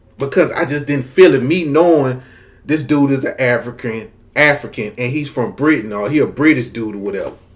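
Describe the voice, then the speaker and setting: Here a man speaks in a Southern US accent. His pitch is fairly high. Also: ordinary pitch variation. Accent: Southern US drawl. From US South, Mississippi. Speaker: YouTube commentator. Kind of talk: casual vlog commentary.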